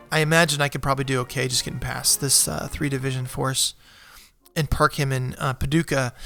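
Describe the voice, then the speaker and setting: A man at a medium pitch, monotone and flat, at a fairly quick pace with music in the background. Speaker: gaming video creator. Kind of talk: let's play commentary.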